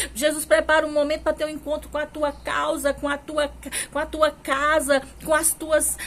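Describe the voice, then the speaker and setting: A woman keeps a moderate pace, and noticeable background noise can be heard while she speaks. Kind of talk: sermon preaching. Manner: fervent, exhortative.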